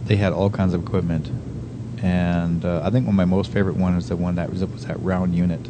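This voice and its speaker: Very fast speech comes from a man with a very deep, low pitch and ordinary pitch variation. Audible room echo and noticeable background noise surround him. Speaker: radio host. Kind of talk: casual chat.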